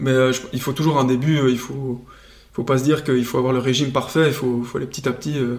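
A man speaks at medium pitch and a fairly quick pace in a monotone, flat intonation. Noticeable background noise runs under his voice. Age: 20s. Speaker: agronomist and food nonprofit co-founder. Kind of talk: interview. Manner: casual with frequent hesitations.

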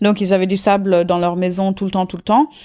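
Very clean recording with a silent background, of a woman at medium pitch with fairly even intonation. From India, Auroville near Pondicherry. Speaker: intentional community member. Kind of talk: casual interview. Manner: hesitant, many fillers.

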